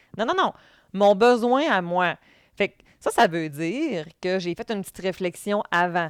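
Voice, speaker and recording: A woman speaks at a fairly slow pace with ordinary pitch variation. The recording is very clean with a silent background, and the sound is dry and close with no echo. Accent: Quebec. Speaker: podcast host, former youth protection worker. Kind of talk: educational podcast talk. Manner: loud; intense, animated.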